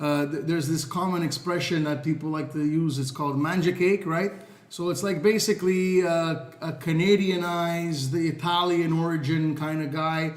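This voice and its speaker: Fairly even intonation amid audible room echo and noticeable background noise. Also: man, fairly high pitch for a man, moderate pace. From Montreal, Quebec, Canada. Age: 30s. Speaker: social media influencer. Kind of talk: podcast interview. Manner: halting, many fillers and repeated words.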